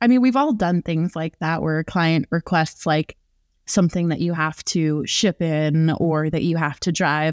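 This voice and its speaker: Recorded very cleanly against a silent background, a woman uses a normal speaking voice at a moderate pace, her pitch fairly low with ordinary variation, the sound dry and close with no echo. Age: 20s. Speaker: private flight attendant, podcast host. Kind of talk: casual interview chat.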